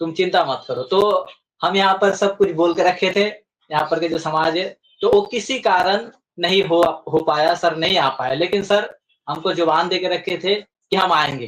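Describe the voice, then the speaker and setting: Intonation stays fairly even as a man speaks at a high pitch. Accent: Bengali. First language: Bengali (speaking Hindi). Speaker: community representative. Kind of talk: interview. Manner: halting, with filler sounds.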